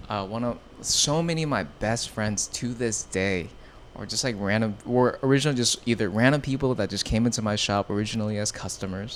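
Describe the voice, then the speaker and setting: A man's medium-pitched voice in a Californian accent, fairly quick in pace, with ordinary pitch variation. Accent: Californian American. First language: Vietnamese. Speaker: streetwear showroom owner. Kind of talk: podcast interview. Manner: casual, filler-heavy.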